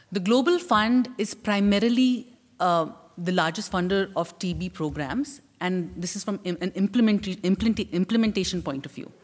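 Ordinary pitch variation in a somewhat breathy female voice. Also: medium pitch for a woman, moderate pace. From India. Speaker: TB survivor and health advocate. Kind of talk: testimony and advocacy speech. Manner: animated.

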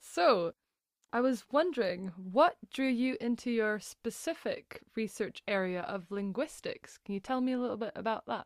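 Recorded very cleanly with a silent background and a dry, close sound with no echo, a woman in a normal speaking voice talks at a moderate pace with fairly high pitch and lively intonation. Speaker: podcast host. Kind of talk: interview with scripted intro.

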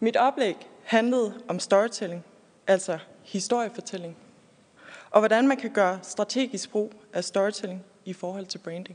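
Big swings in loudness, long and frequent pauses, and ordinary pitch variation. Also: woman, medium pitch for a woman, fairly slow pace. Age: 20s. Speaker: architect and furniture designer. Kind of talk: prepared speech, personal story.

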